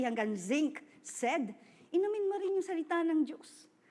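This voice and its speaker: A loud, animated woman's voice at a fairly slow pace. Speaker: preacher. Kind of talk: sermon.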